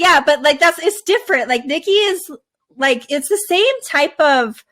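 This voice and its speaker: A bright, sharp tone moves through very wide pitch swings at a fairly slow pace. Loudness stays very even. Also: woman, extremely high pitch for a woman. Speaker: podcast host. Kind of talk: casual chat. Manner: quiet.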